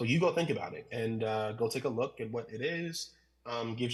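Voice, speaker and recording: A man's somewhat breathy voice. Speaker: pastor. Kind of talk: conference talk. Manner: fast.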